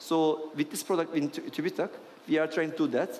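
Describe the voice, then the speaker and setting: A man speaks with a Turkish accent. Noticeable background noise runs underneath. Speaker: venture capital investor. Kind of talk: panel discussion. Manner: halting.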